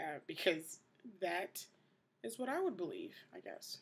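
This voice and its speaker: In an American accent, a woman speaks at a moderate pace. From New York City, the Bronx. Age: 20s. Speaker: vlogger. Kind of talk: casual video diary. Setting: indoors at night, host family's house. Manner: hushed, trying to keep quiet. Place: home room. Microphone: webcam.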